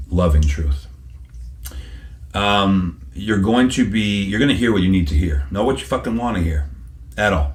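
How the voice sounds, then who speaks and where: A man speaks in a very deep, low pitch that swings very widely. His voice is somewhat breathy, with audible room echo. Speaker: psychic medium. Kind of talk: interview answer. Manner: repetitive, hesitant starts; animated.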